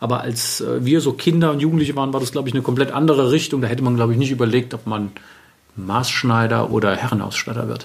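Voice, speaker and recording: A man talks at a very fast pace. His medium-pitched voice shows ordinary pitch variation. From Germany, Wiesbaden. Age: 40s. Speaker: bespoke tailor. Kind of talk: interview. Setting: tailoring studio.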